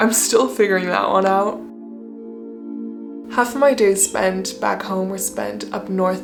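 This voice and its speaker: A woman speaks in a calm tone, with music in the background and audible room echo. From France and Canada. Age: 20s. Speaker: art student vlogger. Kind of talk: reflective vlog narration. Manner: calm, reflective.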